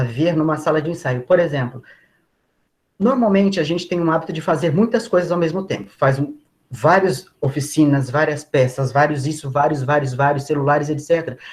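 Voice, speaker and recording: A man with a fairly high voice and an unremarkable speaking voice, ordinary pitch variation, and a moderate pace. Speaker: body preparation trainer for performers. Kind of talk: online lecture. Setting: video call.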